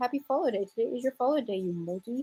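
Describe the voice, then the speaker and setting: A woman with an American accent talks at a very fast pace. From Houston, Texas. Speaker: live streamer. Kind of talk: live stream chat reading comments.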